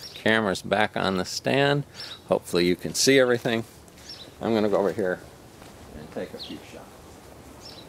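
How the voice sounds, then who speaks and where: Noticeable background noise sits behind a man with a fairly low pitch. He talks at a moderate pace with ordinary pitch variation and long, frequent pauses. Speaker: slingshot hobbyist video maker. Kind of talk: casual tutorial demonstration. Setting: outdoors.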